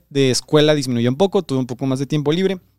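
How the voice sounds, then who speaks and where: With an unremarkable speaking voice, a man talks at a fairly quick pace and fairly high pitch in a dry, close sound with no echo. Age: 20s. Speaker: producer and co-host. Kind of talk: casual chat.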